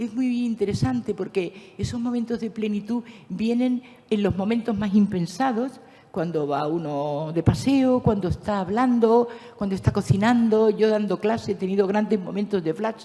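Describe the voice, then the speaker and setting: A woman's medium-pitched, somewhat breathy voice with a dark, mellow tone, lively intonation, and a moderate pace. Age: 70s. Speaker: speaker at a conference, teacher. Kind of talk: conference talk.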